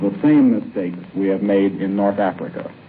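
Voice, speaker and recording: This man talks at a moderate pace. Background noise is noticeable. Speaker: war correspondent. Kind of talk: radio news report. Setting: shortwave broadcast.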